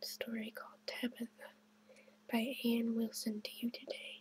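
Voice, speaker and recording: Talking at a fairly slow pace, the speaker is soft-spoken. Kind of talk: children's story reading.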